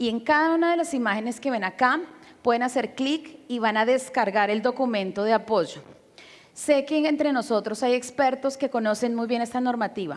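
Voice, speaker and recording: This woman's voice sits high in pitch. She talks at a moderate pace. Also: ordinary pitch variation. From Colombia, Bogotá. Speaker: educator and conference speaker. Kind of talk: conference lecture. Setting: stage with audience, sign interpreter.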